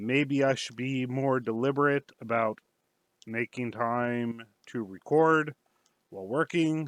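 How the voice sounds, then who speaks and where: A man speaks in an ordinary speaking voice at a medium pitch, with ordinary pitch variation and a dry, close sound with no echo. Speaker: indie game developer. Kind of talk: devlog narration. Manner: casual, with filler words.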